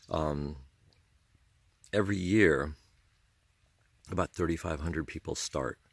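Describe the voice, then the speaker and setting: On a very clean recording with a silent background and a dry, close sound with no echo, a man speaks fairly slowly in a very deep, low voice with vocal fry. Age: 60s. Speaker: hiking vlogger. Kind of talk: casual advice monologue. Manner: halting, with frequent fillers.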